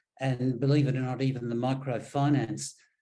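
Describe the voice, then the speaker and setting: A man's medium-pitched voice with an Australian accent, flat and monotone in intonation. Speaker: engineer on sanitation projects. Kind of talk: presentation. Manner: hesitant, many ums and repeats.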